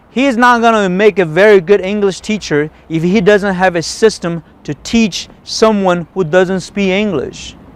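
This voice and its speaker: An animated man with a non-native accent speaks in a high voice with ordinary pitch variation. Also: moderate pace. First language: not English. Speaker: golf instructor. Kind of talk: tutorial.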